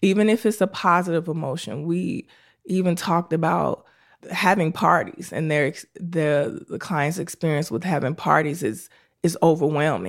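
A woman talks at a moderate pace in a fairly low pitch with vocal fry and ordinary pitch variation. The recording is very clean, with a silent background. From Chicago, South Side. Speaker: clinical psychologist and military veteran. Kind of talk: casual interview chat.

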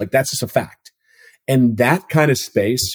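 Somewhat breathy, medium-pitched male speech in an American accent at a fairly quick pace, dry and close with no echo. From Minnesota. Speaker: food company CEO. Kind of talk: interview conversation. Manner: halting, many fillers.

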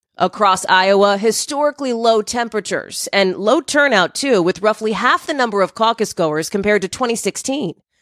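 A plain, everyday voice with lively intonation moves at a moderate pace with hardly any pauses, in a dry, close sound with no echo on a very clean recording with a silent background. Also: woman, fairly high pitch for a woman. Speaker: TV news correspondent. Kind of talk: live news report. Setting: on location in snowy New Hampshire.

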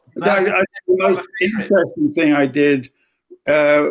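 This man talks at a moderate pace with an English accent. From English Midlands. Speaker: music executive. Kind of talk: interview.

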